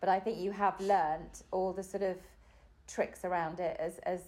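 Speaking at a moderate pace with an English accent, a woman has a dark, mellow tone, medium pitch and monotone, flat intonation. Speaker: mother of host. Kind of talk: casual chat.

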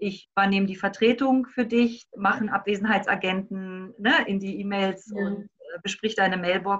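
Delivery is at a moderate pace. Pitch movement stays fairly even. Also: woman. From Berlin. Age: 50s. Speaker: life coach. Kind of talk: interview.

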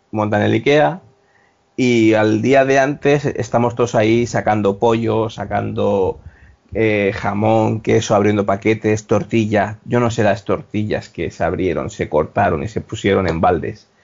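This man has an ordinary speaking voice. He speaks fairly slowly at a fairly low pitch. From Spain, Valencia. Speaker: former hospitality worker. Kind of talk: casual chat.

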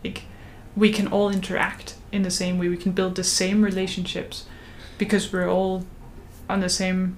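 With a Danish accent, a woman speaks at a moderate pace in a medium pitch, her flat, monotone delivery broken by long, frequent pauses. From Denmark. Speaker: podcast host, religious studies student. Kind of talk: casual chat.

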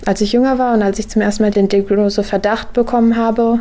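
A woman speaks in a monotone with flat intonation, at a moderate pace. Noticeable background noise runs under her voice. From western Germany (Heinsberg, Rhineland). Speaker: university student. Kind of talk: interview. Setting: at home.

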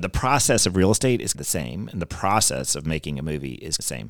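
With an American accent and a very deep, low pitch, a man speaks at a fairly quick pace with vocal fry, in a very clean recording against a silent background. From US South, North Carolina (Davidson). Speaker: real estate developer and film producer. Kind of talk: casual interview chat.

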